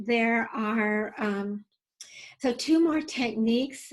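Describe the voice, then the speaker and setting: The woman's voice is fairly high and somewhat breathy. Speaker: nonprofit founder and safety educator. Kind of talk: webinar presentation. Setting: online webinar.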